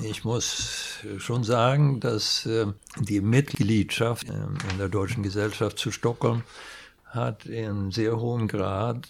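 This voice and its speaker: The speech comes at a very slow pace with fairly even intonation. Noticeable background noise is present. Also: man. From Sweden. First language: Swedish (speaking German). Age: 70s. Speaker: industrial designer. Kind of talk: interview.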